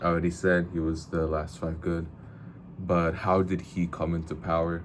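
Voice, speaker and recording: A man with a very deep, low pitch talks at a moderate pace in a monotone, flat intonation. Audible room echo is present. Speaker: book reviewer / vlogger. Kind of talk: casual video monologue. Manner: halting, repeats words.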